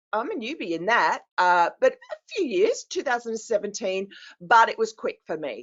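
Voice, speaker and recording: A woman with an Australian accent talks at a moderate pace. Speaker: business coach. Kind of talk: casual chat.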